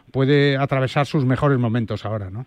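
In a dry, close sound with no echo, a man talks at a very fast pace with a fairly high pitch and ordinary pitch variation. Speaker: golf radio host. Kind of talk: sports radio show.

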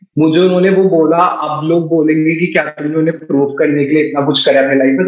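A man's high-pitched voice with ordinary pitch variation, amid noticeable background noise. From India, Meerut (Uttar Pradesh). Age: 20s. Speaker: content creator. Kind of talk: interview, casual chat mixing Hindi and English.

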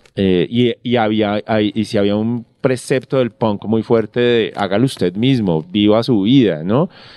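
A man's voice holds a medium pitch and shows ordinary pitch variation. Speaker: novelist and screenwriter. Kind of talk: casual interview chat. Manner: halting, many fillers.

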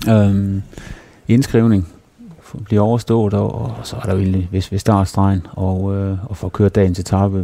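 Through noticeable background noise, a man talks at a fairly slow pace in a fairly low pitch with fairly even intonation. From Denmark, Herning (Jutland). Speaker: former professional cyclist. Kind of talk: interview. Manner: halting, many repetitions.

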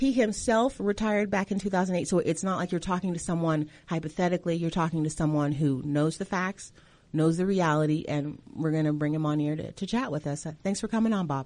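Fairly quick pace from a woman with a normal speaking voice, fairly low pitch, ordinary pitch variation and hardly any pauses. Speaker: radio host. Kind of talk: casual interview. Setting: studio.

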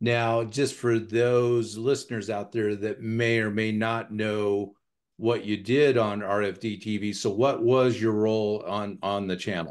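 An unremarkable speaking voice from a man, fairly low in pitch, fairly slow and fairly even in intonation. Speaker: podcast host. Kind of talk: casual interview conversation. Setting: home office.

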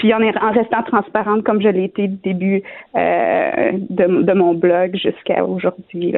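A woman keeps a fairly slow pace, her medium-pitched voice showing ordinary pitch variation. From Quebec, Shawinigan. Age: 30s. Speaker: cancer patient. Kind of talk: testimony. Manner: halting.

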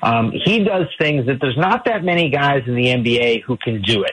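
A man with an American accent, medium-pitched, at a moderate pace, with ordinary pitch variation and noticeable background noise. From Ohio (Tallmadge). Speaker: sports journalist. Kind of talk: radio sports interview.

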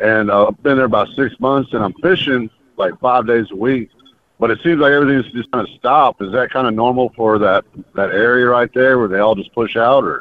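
A medium-pitched man with a Texas accent at a fairly quick pace, with ordinary pitch variation. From Houston, Texas. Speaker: caller. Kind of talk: casual chat.

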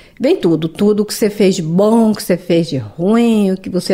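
In a dark, mellow tone, a woman speaks at a medium pitch and a moderate pace. Her pitch variation is ordinary. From Brazil, Paraná. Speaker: immigrant interviewee. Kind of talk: interview testimony.

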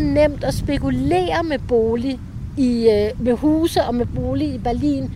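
Against noticeable background noise, a woman speaks. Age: 50s. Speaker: tour guide and author. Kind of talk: interview.

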